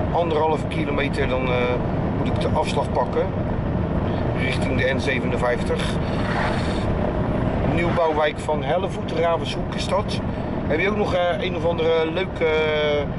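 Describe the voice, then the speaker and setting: Long, frequent pauses break up the speech amid loud background noise. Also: man, moderate pace. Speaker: vlogger driving. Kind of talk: casual vlog chat. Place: car. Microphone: phone near.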